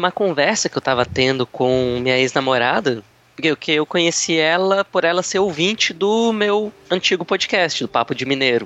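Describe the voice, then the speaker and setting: This is a man speaking. His intonation is lively. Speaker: airline check-in agent and former reporter. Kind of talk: casual interview as the questioner. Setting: online call.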